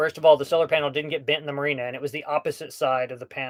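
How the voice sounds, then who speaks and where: At a very fast pace, a man speaks in an American accent. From US Southwest (Hobbs, New Mexico). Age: 40s. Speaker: sailing YouTuber. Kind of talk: live stream Q&A, casual chat. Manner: casual, filler-heavy.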